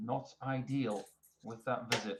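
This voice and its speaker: A somewhat breathy man of medium pitch with a Northumbrian accent and fairly even intonation. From northern England, Northumberland. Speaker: darts commentator. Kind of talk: live commentary.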